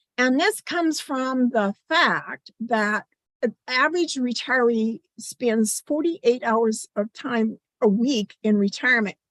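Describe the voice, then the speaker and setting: A woman speaks at a very slow pace in a high voice with ordinary pitch variation. Her loudness stays very even, and the sound is dry and close with no echo. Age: 70s. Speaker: retirement speaker. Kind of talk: keynote presentation. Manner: halting.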